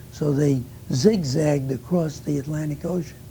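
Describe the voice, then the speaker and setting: The man's voice has a fairly high pitch and ordinary pitch variation. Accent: New York. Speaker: war veteran. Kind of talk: oral history interview. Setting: recorded interview.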